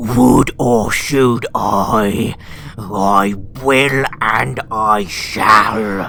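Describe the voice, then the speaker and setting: Over clear background noise, a man growls very slowly in a put-on character voice at a fairly low pitch. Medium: read story. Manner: wild, hungry, relishing.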